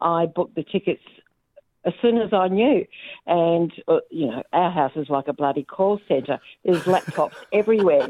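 A woman with an Australian accent and a dark, mellow tone, fairly low in pitch, at a moderate pace with lively intonation. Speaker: caller. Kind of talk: casual chat.

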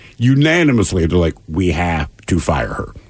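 A somewhat breathy man at a fairly quick pace with lively intonation. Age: 50s. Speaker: radio show co-host. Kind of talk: news reading; casual chat.

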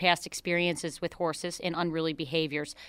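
A woman with a Buffalo accent, her fairly low voice bright and sharp, on a very clean recording with a silent background. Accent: Western New York (Buffalo area). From western New York, Niagara County. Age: 20s. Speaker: horse trainer and ranch owner. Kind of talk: radio interview. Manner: hesitant, many fillers.

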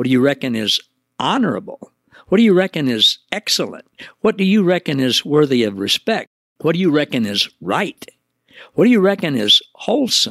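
A man with an American accent, high pitch and very wide pitch swings, at a moderate pace, in a dry, close sound with no echo. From US Midwest, Missouri Ozarks. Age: 70s. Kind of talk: devotional teaching monologue.

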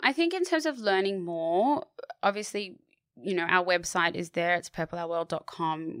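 Moderate-paced speech from a fairly low-pitched woman with an Australian accent and ordinary pitch variation, dry and close with no echo, in a very clean recording with a silent background. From Sydney, Australia (eastern suburbs). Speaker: charity advocate. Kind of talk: interview.

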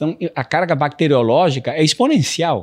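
Over a silent background on a very clean recording, a man talks at a moderate pace with lively intonation. He has an unremarkable speaking voice. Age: 50s. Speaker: private equity CEO. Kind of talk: interview.

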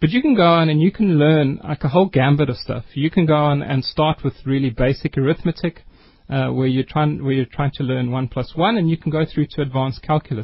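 Delivered at a fairly quick pace with hardly any pauses, this is an ordinary speaking voice with ordinary pitch variation. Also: man, fairly high pitch for a man. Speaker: education nonprofit co-founder. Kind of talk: radio interview. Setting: studio.

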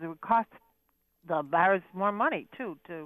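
Here a woman speaks with an American accent. Her pace is fairly slow. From Buffalo, New York. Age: 70s. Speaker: caller. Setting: phone call.

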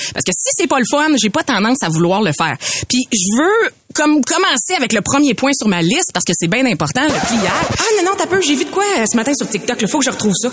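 A high-pitched woman at a fairly quick pace with very wide pitch swings, over noticeable background noise. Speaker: podcast co-host. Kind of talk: casual chat.

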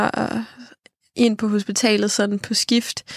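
A dry, close sound with no echo carries speech at a very slow pace. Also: woman. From Denmark, Funen. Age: 20s. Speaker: podcast host. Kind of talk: personal testimony about grief. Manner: hesitant, many filler sounds.

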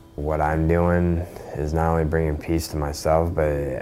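A man's very deep, low, monotone voice with flat intonation at a moderate pace, with audible room echo and noticeable background noise. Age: 20s. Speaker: former neo-Nazi. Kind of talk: interview.

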